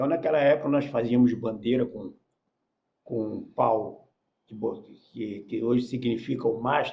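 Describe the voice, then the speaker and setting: A man of medium pitch speaks fairly slowly, somewhat breathy, with fairly even intonation and long, frequent pauses. Audible room echo surrounds his voice. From Rio de Janeiro, Brazil. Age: 70s. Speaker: former professional footballer. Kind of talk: podcast interview.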